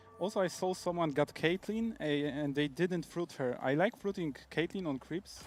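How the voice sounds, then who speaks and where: This man's fairly high voice moves at a moderate pace with ordinary pitch variation. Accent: Polish. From Poland. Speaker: professional esports player. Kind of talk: casual chat.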